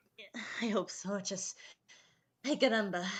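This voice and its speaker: A woman speaks at a moderate pace and medium pitch, her voice somewhat breathy. Her pitch varies in an ordinary way. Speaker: YouTuber. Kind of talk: casual chat. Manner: halting. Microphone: poor mic with echo.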